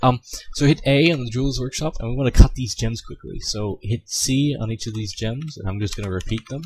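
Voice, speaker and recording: Fairly quick, somewhat breathy speech from a man. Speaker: video game tutorial maker. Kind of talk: tutorial. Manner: fast; hesitant, many fillers.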